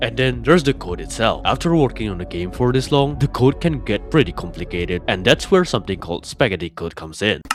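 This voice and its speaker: Very fast delivery with hardly any pauses, over music in the background. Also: man. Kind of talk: video essay narration.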